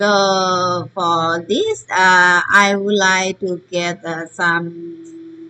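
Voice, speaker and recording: A woman with a Burmese accent speaks at a medium pitch in a bright, sharp tone. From Myanmar. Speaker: teacher. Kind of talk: online lesson. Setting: recorded online session. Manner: halting.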